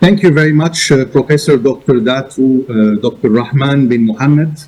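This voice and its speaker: A man speaks at a medium pitch. His pace is fairly slow, with ordinary pitch variation. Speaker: arbitration institution director. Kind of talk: conference presentation.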